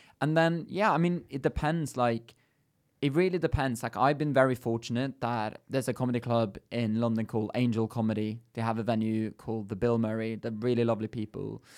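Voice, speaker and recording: On a very clean recording with a silent background, a man with a Norwegian accent speaks fairly quickly at medium pitch. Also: ordinary pitch variation. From Norway, near Bergen. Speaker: stand-up comedian. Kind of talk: casual chat. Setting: studio.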